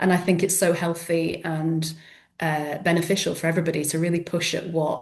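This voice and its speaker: A woman talks at a fairly quick pace with a fairly low pitch and monotone, flat intonation. The room echo is audible. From South Yorkshire, England, then Edinburgh from 14. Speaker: author. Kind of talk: interview.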